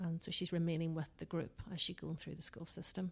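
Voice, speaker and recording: A woman's fairly low, somewhat breathy voice with a strong Northern Irish accent. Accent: Northern Irish, still strong. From Northern Ireland. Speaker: business consultant. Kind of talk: podcast interview.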